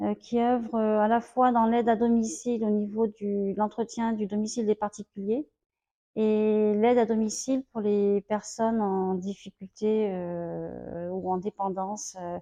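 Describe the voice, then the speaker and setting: A woman speaks in a dark, mellow tone at a fairly high pitch. Her pace is fairly slow and her intonation fairly even. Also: dry, close sound with no echo. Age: 50s. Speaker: home help worker. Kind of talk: interview testimony. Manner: hesitant, many fillers.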